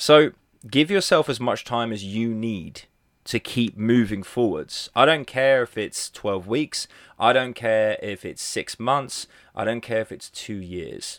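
A medium-pitched man with an Australian accent, ordinary pitch variation and big swings in loudness, in a dry, close sound with no echo on a very clean recording with a silent background. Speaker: podcast host, fat loss coach. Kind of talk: solo podcast monologue. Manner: casual, conversational.

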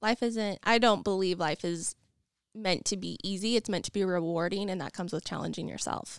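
With an American accent, a normal speaking voice moves at a fairly quick pace with ordinary pitch variation, sounding dry and close with no echo on a very clean recording with a silent background. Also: woman, medium pitch for a woman. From Idaho (Nampa). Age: 20s. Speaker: real estate agent, property management business owner. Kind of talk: interview. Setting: studio.

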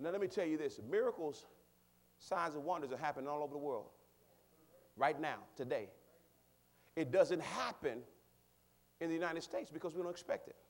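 A man's fairly high voice at a fairly quick pace, with ordinary pitch variation and long, frequent pauses. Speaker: pastor. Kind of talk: sermon. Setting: church.

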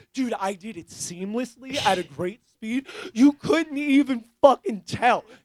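A man with an extremely high pitch talks at a fairly slow pace, his intonation lively. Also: dry, close sound with no echo. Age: 30s. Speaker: podcast host and punk musician. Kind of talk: casual chat. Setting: studio with live stream.

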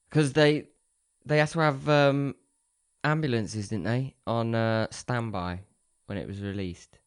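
A man with a southern English accent talks at a fairly slow pace, leaving long, frequent pauses. His intonation is lively. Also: medium pitch for a man. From Oxfordshire, southern England. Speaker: podcast co-host. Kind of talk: casual chat; reading aloud.

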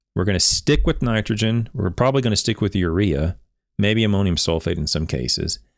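In a very clean recording with a silent background, a man with an unremarkable speaking voice and fairly low pitch talks at a fairly quick pace with lively intonation. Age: 40s. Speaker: turfgrass science educator, video host. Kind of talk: solo literature review livestream.

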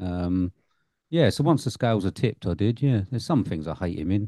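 Against a quiet background, a man with a fairly low pitch and a dark, mellow tone speaks at a moderate pace with lively intonation, the sound dry and close with no echo. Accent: English. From England. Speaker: film podcast host. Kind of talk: casual chat.

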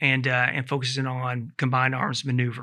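In a very clean recording with a silent background, a man with an American accent speaks at a medium pitch with a bright, sharp tone. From US South, Knoxville, Tennessee. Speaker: army brigade commander. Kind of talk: casual interview. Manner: halting, many fillers.

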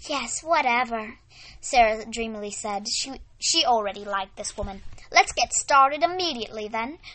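Someone reads aloud in a natural voice, using lively intonation.

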